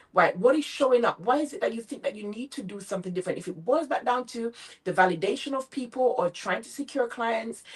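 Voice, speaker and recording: Animated and lively in intonation, a woman speaks with a Jamaican accent. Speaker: motivational speaker and business coach. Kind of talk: interview.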